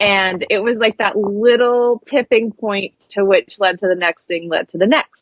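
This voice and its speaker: At a fairly slow pace, a woman speaks with hardly any pauses. Her pitch is medium, and it varies in an ordinary way. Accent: Pacific Northwest. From US West Coast (coastal Oregon). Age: 30s. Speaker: graphic designer and spiritual coach. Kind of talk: podcast interview.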